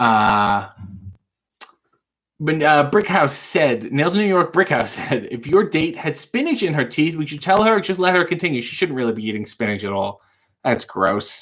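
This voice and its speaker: With vocal fry and very wide pitch swings, a man speaks at a fairly high pitch and a moderate pace. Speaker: live show host, comedian. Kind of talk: casual live talk to camera, Q&A.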